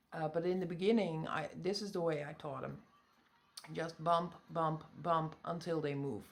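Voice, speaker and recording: In a Dutch accent, a woman speaks with a fairly low voice and fairly even intonation. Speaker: pet pig owner. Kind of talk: tutorial. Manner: halting.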